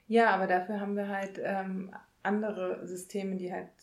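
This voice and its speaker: Monotone, flat intonation marks speech that moves at a fairly slow pace. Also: woman. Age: 30s. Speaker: podcast co-host. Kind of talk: casual chat. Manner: halting, many filler sounds.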